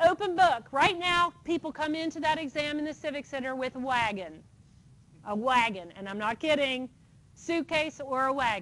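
Speaking at a moderate pace, a woman with a high pitch uses lively intonation. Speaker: engineering licensing board director. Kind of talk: lecture. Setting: lecture hall with audience.

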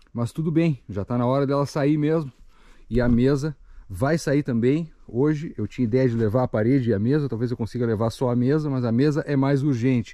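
Over a quiet background, a man with a dark, mellow tone talks at a fairly quick pace with ordinary pitch variation in a dry sound with no echo. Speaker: bushcraft vlogger. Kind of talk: casual vlog chat. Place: forest. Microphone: phone near.

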